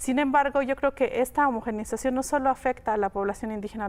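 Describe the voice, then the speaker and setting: Her intonation fairly even, a woman speaks in a very clean recording with a silent background. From Oaxaca, Mexico (Mixe community). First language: Mixe (Ayuuk) (speaking Spanish). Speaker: linguist. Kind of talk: interview.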